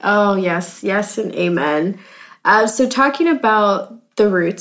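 Over a very clean recording with a silent background, a woman speaks in an unremarkable speaking voice at a fairly slow pace with ordinary pitch variation. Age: 20s. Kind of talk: casual chat. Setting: makeshift home studio.

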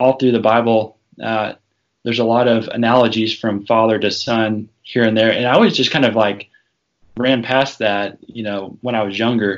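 A man with an American accent speaks at a medium pitch and a moderate pace. His intonation stays flat and monotone. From US South, northwest Arkansas. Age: 30s. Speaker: law student, father. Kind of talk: interview conversation. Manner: hesitant with fillers.

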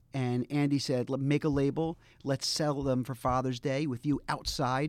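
With an American accent, a man speaks at a moderate pace in a fairly high pitch and monotone, flat intonation. The recording is very clean, with a silent background. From US, Baltimore, Maryland. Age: 40s. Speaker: fashion figure. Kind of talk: casual chat. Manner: halting.

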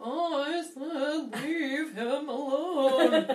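The speaker uses a put-on character voice set at a high pitch.

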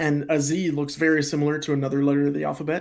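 Speaking in an American accent at a fairly quick pace, a man has a normal speaking voice and a fairly high pitch. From Pennsylvania, US. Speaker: YouTuber and gaming content creator. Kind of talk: casual chat.

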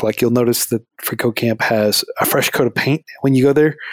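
Heard dry and close with no echo, a man talks at a fairly quick pace and a medium pitch. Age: 30s. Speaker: nonprofit founder. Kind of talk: interview.

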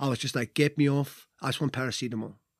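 Speaking at a fairly quick pace with fairly even intonation, a man is heard in a dry, close sound with no echo on a very clean recording with a silent background. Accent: Welsh. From Wales. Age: 30s. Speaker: former rugby player. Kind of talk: casual interview. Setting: studio in London.

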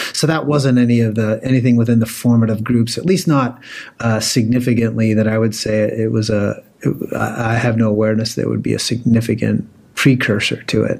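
An ordinary speaking voice from a man with an American accent, fairly quick in pace, with ordinary pitch variation. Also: medium pitch for a man. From Pennsylvania. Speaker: theology professor. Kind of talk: podcast interview.

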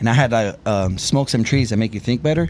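A man with an American accent speaks in a plain, everyday voice, medium in pitch with ordinary pitch variation. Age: 40s. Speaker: viral content creator. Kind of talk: casual chat.

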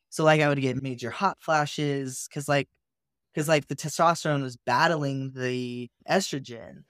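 Here a man with an American accent speaks at a moderate pace with fairly even intonation, the sound dry and close with no echo in a very clean recording against a silent background. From California (Santa Cruz). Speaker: artist. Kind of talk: casual chat. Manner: loud.

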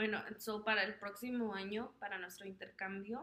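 A woman's medium-pitched voice, bright and sharp in tone, monotone and flat, at a fairly slow pace. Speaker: podcast co-host. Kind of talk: casual chat.

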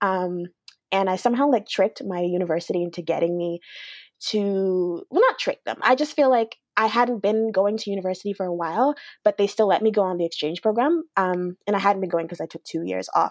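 A Canadian accent at a fairly quick pace, ordinary pitch variation, a quiet background and a dry, close sound with no echo. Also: woman. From Alberta, Canada. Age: 20s. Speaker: podcast host and magazine founder. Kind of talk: interview.

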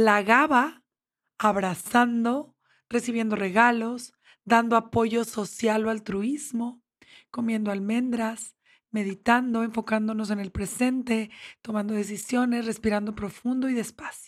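Speaking in a normal speaking voice, a woman keeps a fairly slow pace, a fairly high pitch and fairly even intonation. The recording is very clean with a silent background. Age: 50s. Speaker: therapist. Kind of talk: interview. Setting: studio.

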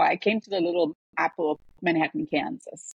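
A woman with a German accent talks at a moderate pace in a fairly low pitch, her intonation lively. The sound is dry and close, with no echo. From Germany. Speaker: professor and health coach. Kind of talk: casual interview.

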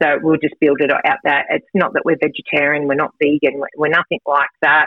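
Speaking at a fairly quick pace, a woman with an Australian accent has a very deep, low voice. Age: 40s. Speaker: fitness and nutrition coach. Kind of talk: radio interview.

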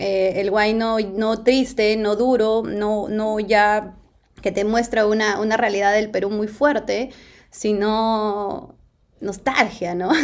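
A woman speaks at a fairly high pitch and a very slow pace. Her intonation stays monotone and flat. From Peru. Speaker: singer. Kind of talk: casual interview.

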